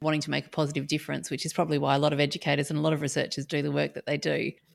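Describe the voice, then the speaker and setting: With an Australian accent, a woman speaks at a very deep, low pitch with vocal fry, on a very clean recording with a silent background. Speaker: podcast host and academic. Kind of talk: interview conversation.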